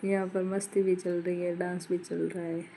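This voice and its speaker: A woman's voice has a dark, mellow tone at a medium pitch. She speaks at a fairly slow pace in a monotone, flat way. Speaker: vlogger. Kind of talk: vlog narration.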